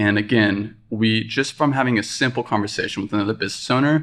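A man's fairly quick delivery in a normal speaking voice, ordinary pitch variation, and a very clean recording with a silent background. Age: 20s. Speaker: cafe owner. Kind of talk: casual interview. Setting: studio.

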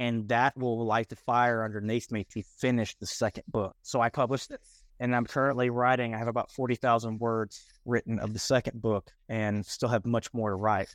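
Over a quiet background, a man speaks at a moderate pace in a flat monotone, the sound dry and close with no echo. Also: medium pitch for a man. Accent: Texan. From Texas. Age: 20s. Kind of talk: casual interview.

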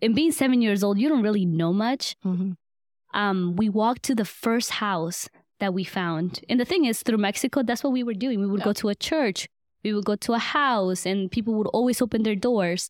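Speaking at a fairly quick pace with a Spanish accent, a woman holds a very even loudness at a fairly high pitch with ordinary pitch variation, on a very clean recording with a silent background. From Guatemala, raised in Atlanta, Georgia. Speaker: medical student and nonprofit founder. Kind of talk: interview.

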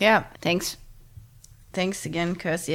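This woman speaks with a German accent and fairly low pitch. Vocal fry runs through her voice. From Germany. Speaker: retail tech co-founder. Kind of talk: interview. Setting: in person at home.

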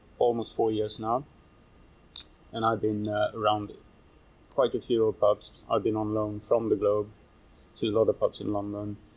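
With long, frequent pauses, a man talks in a fairly low pitch and a monotone, flat intonation. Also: moderate pace. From Sweden. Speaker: chef. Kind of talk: interview.

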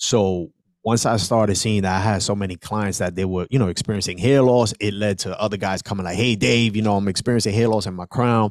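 A man with an ordinary speaking voice talks at a fairly quick pace in a fairly low pitch, his intonation fairly even and hardly any pauses between words. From New York City, South Bronx. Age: 40s. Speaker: entrepreneur. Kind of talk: interview.

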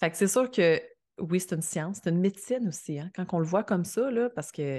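A woman's dark, mellow tone with lively intonation, at a moderate pace against a quiet background. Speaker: astrologer. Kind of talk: casual chat. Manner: calm.

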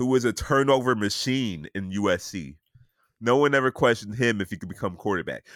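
A man with a plain, everyday voice talks at a fairly quick pace and medium pitch, his intonation lively. The recording is very clean with a silent background, with a dry, close sound and no echo. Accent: American. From US South. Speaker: sports podcast host. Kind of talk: casual chat.

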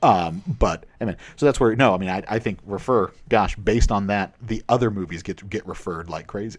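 With a normal speaking voice, a man talks at a moderate pace with hardly any pauses, his fairly low pitch showing ordinary variation. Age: 30s. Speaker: philosopher. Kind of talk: casual chat.

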